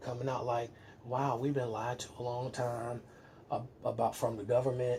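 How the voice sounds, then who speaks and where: A man speaks in a medium-pitched voice with a flat, monotone delivery. His pace is moderate, and there is noticeable background noise. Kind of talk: casual conversation.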